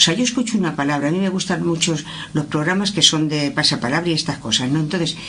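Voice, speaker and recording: Heard with noticeable background noise and audible room echo, a woman speaks at a very deep, low pitch. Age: 70s. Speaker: workshop participant. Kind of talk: roundtable discussion. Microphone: far from the mic.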